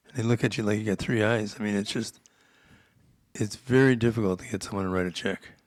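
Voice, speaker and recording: A very fast, fairly low-pitched man with an American accent, fairly even intonation and big swings in loudness, on a very clean recording with a silent background. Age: 70s. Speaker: real estate investor. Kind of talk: interview. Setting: live stream.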